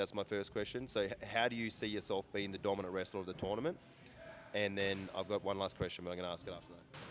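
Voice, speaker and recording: A man with an Australian accent, fairly low in pitch, at a very fast pace. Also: fairly even intonation. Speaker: interviewer. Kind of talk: interview.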